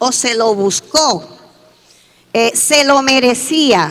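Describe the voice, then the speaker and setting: A woman's raised, projected voice with ordinary pitch variation, over noticeable background noise. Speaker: education speaker at forum. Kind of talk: conference talk.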